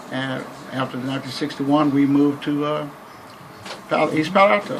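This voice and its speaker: A man with an American accent speaks at a fairly high pitch and a fairly even intonation, with music in the background and audible room echo. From Texas, Waco. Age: 70s. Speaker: minister. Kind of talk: interview. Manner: halting.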